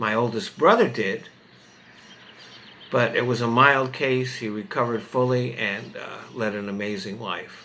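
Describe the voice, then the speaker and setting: A man with an American accent speaks at a medium pitch and a fairly slow pace, with ordinary pitch variation. There is noticeable background noise and audible room echo. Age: 70s. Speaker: political commentary vlogger. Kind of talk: opinion monologue to camera. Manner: halting.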